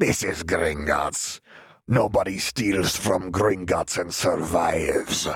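Putting on a character voice, a man speaks very slowly in a raspy, very deep, low pitch. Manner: cackling.

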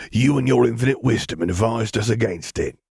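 Using a put-on character voice, a man growls at a medium pitch and a very fast pace. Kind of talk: sarcastic. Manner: snarling, bitter.

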